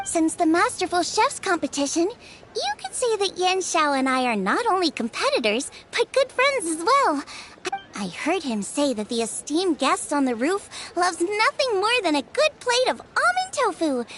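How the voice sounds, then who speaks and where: A cartoonish character voice at an extremely high pitch, swinging very widely in pitch, with clear background noise. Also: moderate pace. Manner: bright, eager.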